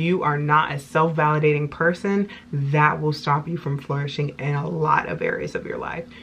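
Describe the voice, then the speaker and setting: With hardly any pauses, a woman with a very deep, low pitch keeps a moderate pace and fairly even intonation against noticeable background noise. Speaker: self-help video blogger. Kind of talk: casual talk to camera, self-help monologue.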